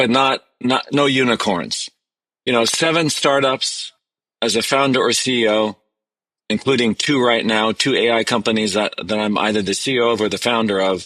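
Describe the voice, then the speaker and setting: A man with a Canadian accent, bright and sharp in tone, very even in loudness, with ordinary pitch variation on a very clean recording with a silent background. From Canada. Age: 60s. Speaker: tech entrepreneur and CEO. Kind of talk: podcast interview.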